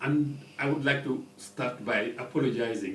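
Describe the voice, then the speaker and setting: A man with a French accent at a fairly slow pace, amid audible room echo and noticeable background noise. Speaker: ambassador. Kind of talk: radio interview. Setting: studio. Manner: halting.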